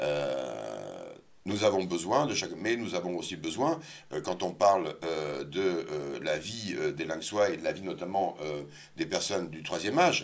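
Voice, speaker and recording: Vocal fry colors this voice, which moves at a fairly slow pace with lively intonation. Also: man, very deep, low pitch for a man. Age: 60s. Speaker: local election candidate. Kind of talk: interview. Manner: hesitant, many fillers.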